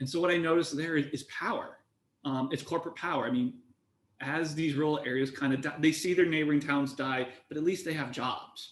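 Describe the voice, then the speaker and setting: A man with an ordinary speaking voice talks at a fairly quick pace with a fairly high pitch and ordinary pitch variation. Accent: American. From US Midwest, eastern Iowa. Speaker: antitrust researcher. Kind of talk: panel discussion.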